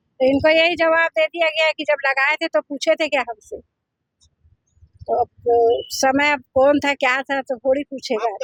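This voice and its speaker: A woman with a high pitch and fairly even intonation leaves long, frequent pauses in a dry, close sound with no echo. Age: 60s. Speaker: local resident interviewee. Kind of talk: news interview.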